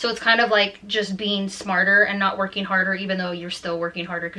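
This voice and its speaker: A woman's voice at a medium pitch, with ordinary pitch variation, over noticeable background noise. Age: 20s. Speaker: beauty and lifestyle vlogger. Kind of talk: casual vlog talk to camera. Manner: stumbling over words.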